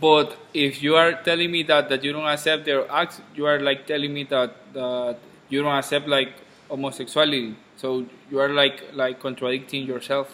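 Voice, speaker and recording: This man's voice is fairly high in pitch, delivered at a moderate pace with monotone, flat intonation while noticeable background noise sounds behind him. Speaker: student. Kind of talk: class discussion in English. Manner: halting.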